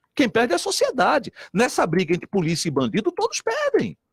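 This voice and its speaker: A man with a northeastern Brazilian accent speaks at a fairly quick pace in an animated tone and a high pitch for a man. The sound is dry and close, with no echo. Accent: northeastern Brazilian (joked as Italian). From Brazilian Northeast, Recife. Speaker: politician. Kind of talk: radio debate. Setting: radio studio.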